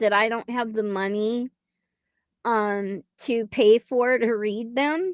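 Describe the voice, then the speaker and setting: The tone is bright and sharp, delivered at a very slow pace. The sound is dry and close with no echo, on a very clean recording with a silent background. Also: woman. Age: 60s. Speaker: livestream show host. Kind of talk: casual live-stream chat. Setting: live stream. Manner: halting, many fillers.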